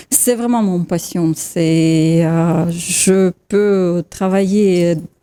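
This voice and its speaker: In a Russian accent, a woman with a dark, mellow tone and medium pitch talks very slowly with fairly even intonation. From Russia, Siberia. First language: Russian (speaking French). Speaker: photographer. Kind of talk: TV talk show interview. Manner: halting, searching for words.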